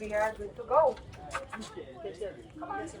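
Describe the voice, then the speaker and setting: This woman's voice is high-pitched and swings very widely in pitch at a moderate pace. Noticeable background noise is present. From Croatia. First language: Croatian. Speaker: carriage tour guide. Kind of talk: guided tour talk. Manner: animated.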